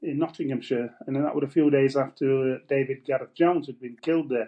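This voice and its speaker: A man speaks with a Yorkshire accent. His pace is fairly quick. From northern England, Wakefield area (Yorkshire). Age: 70s. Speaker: former miner and trade unionist. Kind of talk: interview testimony. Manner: halting, repeats words.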